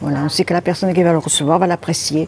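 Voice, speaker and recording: Noticeable noise runs behind a woman whose voice is fairly low in pitch. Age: 80s+. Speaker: knitter. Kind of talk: interview.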